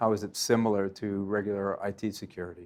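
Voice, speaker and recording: A man with a Boston accent speaks at a moderate pace in a very clean recording with a silent background. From Boston, US. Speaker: company president and interviewer. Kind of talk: interview. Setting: conference event.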